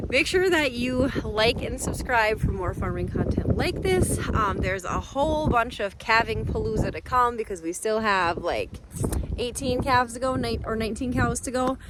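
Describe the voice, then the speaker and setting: With lively intonation and a fairly high pitch, a woman talks at a moderate pace amid noticeable background noise. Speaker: cattle farmer vlogger. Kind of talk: casual vlog narration. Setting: outdoors and in a barn on a farm.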